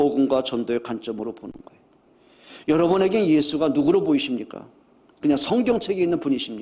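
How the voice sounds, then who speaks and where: A man talks at a very fast pace, his pitch fairly high. His voice swings very widely up and down. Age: 60s. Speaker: pastor. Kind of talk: sermon. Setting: church. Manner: animated.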